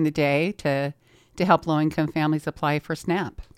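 A woman's plain, everyday voice, fairly low in pitch, at a fairly quick pace, with a dry, close sound with no echo over a very clean, silent background. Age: 50s. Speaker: nonprofit anti-hunger advocate. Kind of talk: radio interview. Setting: radio studio.

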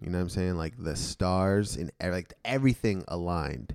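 The man talks at a moderate speed, captured in a very clean recording with a silent background. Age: 20s. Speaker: podcast co-host. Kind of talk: casual chat.

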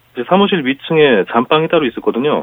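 At a fairly quick pace, a man talks with lively intonation and a fairly high pitch. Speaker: online club founder, IT worker. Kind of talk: phone interview. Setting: phone call. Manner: low-energy, unenthusiastic.

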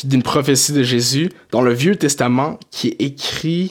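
Speaking in a normal speaking voice, a man with a fairly high pitch keeps a moderate pace. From Quebec, Montreal area, Haitian family. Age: 20s. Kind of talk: casual chat.

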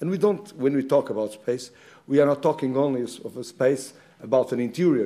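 The voice has a dark, mellow tone and a Portuguese accent. It moves at a fairly quick pace with lively intonation. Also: man. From Portugal. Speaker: architect giving a lecture. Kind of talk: lecture. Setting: lecture hall with slides.

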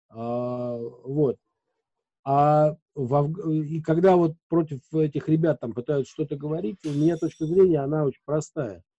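In a dark, mellow tone, a man speaks at a fairly slow pace with ordinary pitch variation, the sound dry and close with no echo. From Moscow region, Russia. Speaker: radio host and editor. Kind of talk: casual interview chat.

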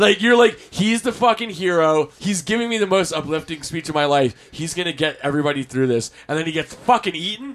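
A man with an American accent speaks in a high pitch. He moves at a fairly quick pace with hardly any pauses. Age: 40s. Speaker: DJ and event promoter. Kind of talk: casual chat.

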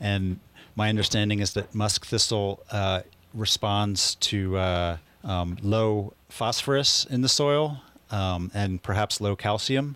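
In an unremarkable speaking voice, a man with an American accent talks at a fairly low pitch with fairly even intonation on a very clean recording with a silent background. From US Northeast, Philadelphia. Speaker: land trust restoration crew leader. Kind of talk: radio interview.

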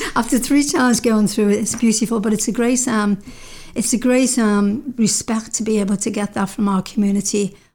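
In a very clean recording with a silent background, a woman speaks with a dark, mellow tone that is somewhat breathy. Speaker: counselor, workshop leader and poet. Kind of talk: casual radio interview. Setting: radio studio.

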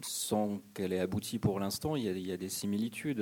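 A man speaks at a fairly low pitch with ordinary pitch variation. His tone is dark and mellow. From France, Ain near Lyon. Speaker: journalist and author. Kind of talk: public radio discussion. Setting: stage with audience. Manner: halting, many hesitations.

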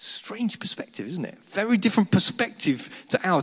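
Here a man speaks with an English accent. He keeps a moderate pace. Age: 50s. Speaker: pastor. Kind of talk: sermon.

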